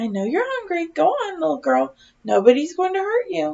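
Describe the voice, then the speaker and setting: In a put-on character voice pitched extremely high, a woman speaks softly at a moderate pace. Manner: soft, gentle, coaxing.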